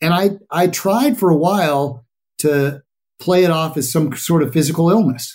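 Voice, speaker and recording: A man's fairly high-pitched voice with a General American accent. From Colorado. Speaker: journalist and author. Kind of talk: interview. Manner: talkative, animated.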